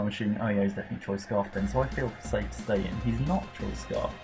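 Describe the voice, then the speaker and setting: With music in the background, a speaker with an English Midlands accent talks at a very fast pace with very wide pitch swings. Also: man. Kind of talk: casual gameplay commentary. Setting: home recording with laptop fan noise. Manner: hesitant, stumbling over words.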